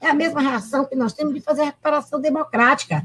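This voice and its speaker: A woman's high-pitched voice at a moderate pace. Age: 70s. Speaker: law professor and former prosecutor. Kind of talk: panel debate. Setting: video call. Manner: animated.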